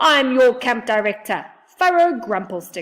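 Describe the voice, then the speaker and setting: A woman in a put-on character voice, gruff and high-pitched, at a fairly slow pace, on a very clean recording with a silent background. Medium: read story.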